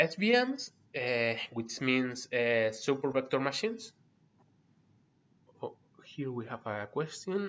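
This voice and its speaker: In a Spanish accent, a man with medium pitch and lively intonation speaks at a very slow pace with long, frequent pauses. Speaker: university lecturer. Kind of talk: online lecture. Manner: halting, many fillers.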